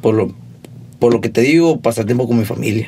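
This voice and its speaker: A man with a Sonoran accent, medium pitch and a fairly quick pace, over noticeable background noise. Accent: rural Sonoran. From Mexico, Sonora (Hermosillo). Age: 20s. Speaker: musician. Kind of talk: casual chat.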